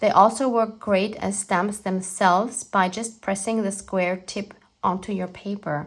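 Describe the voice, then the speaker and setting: A woman with a German accent speaks at a medium pitch and a fairly slow pace. Her intonation is fairly even, and the recording is very clean with a silent background. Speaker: art journaling YouTuber. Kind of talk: scripted narration.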